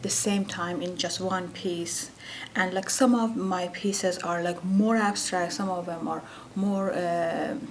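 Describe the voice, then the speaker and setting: With an Iranian accent, a woman talks at a medium pitch and fairly even intonation, with noticeable background noise and audible room echo. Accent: Iranian (Persian). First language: Persian. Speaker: painter. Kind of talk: interview. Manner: halting, many fillers.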